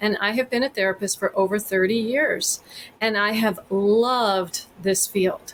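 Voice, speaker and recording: A woman with an American accent uses a plain, everyday voice, fairly high in pitch, with fairly even intonation at a moderate pace. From Texas. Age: 50s. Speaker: therapist. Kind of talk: podcast interview.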